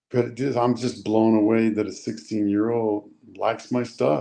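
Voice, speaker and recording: Speaking at a moderate pace, a man uses fairly even intonation with a medium pitch and a dark, mellow tone. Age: 60s. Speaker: actor. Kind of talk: interview.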